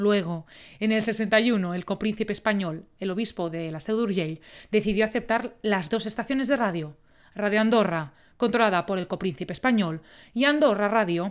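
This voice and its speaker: On a very clean recording with a silent background, a woman with a medium-pitched voice speaks in an animated tone at a moderate pace with ordinary pitch variation. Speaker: podcast host. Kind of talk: scripted narration.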